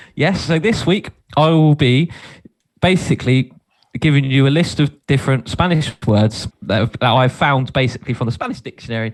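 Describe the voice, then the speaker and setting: A man's medium-pitched voice with a Portsmouth accent, a fairly quick pace and ordinary pitch variation. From southern England, Portsmouth. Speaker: podcast co-host, game presenter. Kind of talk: casual chat, quiz game hosting. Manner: animated.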